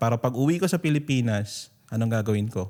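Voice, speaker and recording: Talking very fast at a medium pitch, a man has a dark, mellow, somewhat breathy tone on a very clean recording with a silent background. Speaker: podcast host and business coach. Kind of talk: interview and business advice talk.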